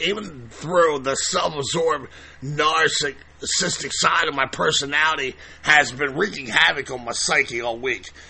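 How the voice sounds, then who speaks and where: Fairly slow speech from a man with a fairly high pitch, ordinary pitch movement, and clearly audible background noise. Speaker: podcast host. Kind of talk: podcast monologue. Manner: up-tempo; halting.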